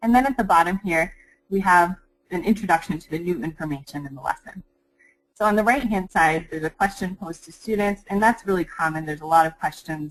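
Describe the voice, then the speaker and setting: A woman's fairly low-pitched voice at a very fast pace, with ordinary pitch variation. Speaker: curriculum developer presenting educational resources. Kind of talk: webinar presentation. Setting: online webinar.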